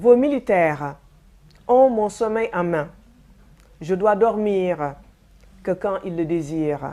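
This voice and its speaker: A woman with a medium pitch and a dark, mellow tone speaks at a very slow pace. Her intonation is lively, broken by long, frequent pauses. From Senegal. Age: 60s. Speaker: testimony giver. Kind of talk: testimony. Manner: formal.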